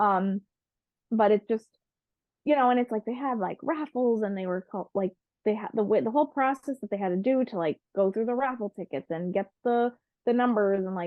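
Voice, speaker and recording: A woman speaks at a fairly quick pace in a fairly high pitch, with ordinary pitch variation. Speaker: podcast co-host. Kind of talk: casual chat. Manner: fast.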